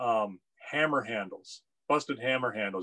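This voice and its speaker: With little noise behind him, a man speaks at a medium speed, his pitch rising and falling in an ordinary way. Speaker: guest. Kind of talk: casual conversation. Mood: relaxed, occasional laughs. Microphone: video call.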